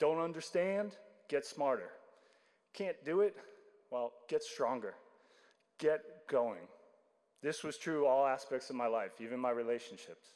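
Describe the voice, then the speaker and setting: Pausing long and often, a man speaks at a fairly slow pace in a fairly high voice. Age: 50s. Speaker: baptism candidate. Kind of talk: testimony. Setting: church.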